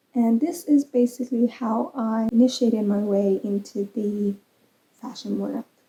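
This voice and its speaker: A woman's dark, mellow voice in a Persian accent at a very slow pace. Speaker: crochet vlogger and English teacher. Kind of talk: casual vlog talk. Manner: hesitant, with fillers.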